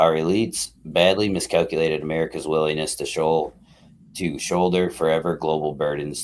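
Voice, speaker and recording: A man's very deep, low voice at a very fast pace, with fairly even intonation. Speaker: political commentary streamer. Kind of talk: reading aloud with commentary. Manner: halting, stumbles over words; casual, informal.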